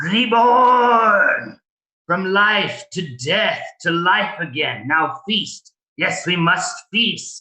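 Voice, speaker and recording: Using a put-on character voice at a middle pitch, the speaker moves at a very slow pace. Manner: ominous, hungry.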